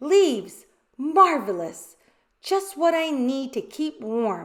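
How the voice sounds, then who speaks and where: A woman's high-pitched put-on character voice, very slow, with very wide pitch swings. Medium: read story. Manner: snuffly, offhand.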